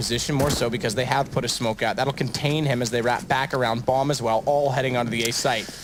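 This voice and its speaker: A man talks at a very fast pace with a medium pitch. His intonation is fairly even, and there is noticeable background noise. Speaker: esports commentator. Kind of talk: live commentary. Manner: loud.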